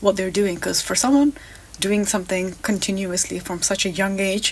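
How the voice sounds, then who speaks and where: A woman's medium-pitched voice at a moderate pace, fairly even in intonation, with noticeable background noise. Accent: non-native. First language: not English. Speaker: reaction video creator. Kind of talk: casual reaction commentary. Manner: halting.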